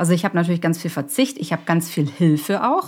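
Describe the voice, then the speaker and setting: In an ordinary speaking voice, a woman talks at a fairly low pitch with ordinary pitch variation. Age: 40s. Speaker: startup founder and consultant. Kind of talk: interview. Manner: casual, many fillers.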